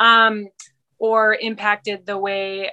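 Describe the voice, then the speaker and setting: This woman's voice has a bright, sharp tone and medium pitch, with a Canadian accent. The background is quiet. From British Columbia, Canada. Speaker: mother sharing personal story. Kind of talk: casual chat.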